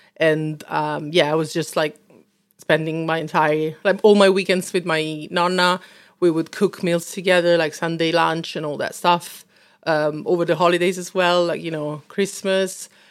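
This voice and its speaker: A woman with an Italian accent speaks in a monotone, flat intonation on a very clean recording with a silent background. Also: fairly low pitch for a woman, moderate pace. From Italy, Rome. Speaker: food business owner. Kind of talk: interview. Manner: hesitant with many fillers.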